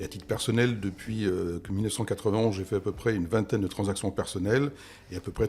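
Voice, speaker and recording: A man with a fairly low pitch speaks at a very fast pace, his voice somewhat breathy and his intonation fairly even. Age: 60s. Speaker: real estate investment expert. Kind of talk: interview.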